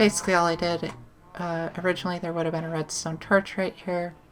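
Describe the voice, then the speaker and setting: A soft-spoken woman talks in a fairly low voice. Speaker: gaming YouTuber. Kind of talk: let's play commentary. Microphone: sits far from the microphone.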